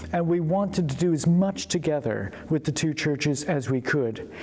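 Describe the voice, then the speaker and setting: This man has a normal speaking voice and an American accent. He speaks at a moderate pace with a fairly high pitch and ordinary pitch variation. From United States. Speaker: vicar. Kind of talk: interview.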